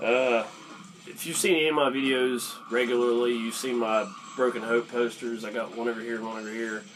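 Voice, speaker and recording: A man speaks at a medium pitch and a fairly quick pace with fairly even intonation. The room echo is audible, and there is noticeable background noise. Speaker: YouTuber telling metal concert stories. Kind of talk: casual story time vlog. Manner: casual, many fillers and hesitations.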